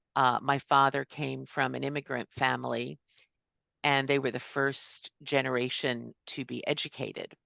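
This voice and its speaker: A woman's voice at a moderate pace, dry and close with no echo, against a quiet background. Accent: American. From New York / New Jersey. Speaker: student success coach and musician. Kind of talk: conference presentation.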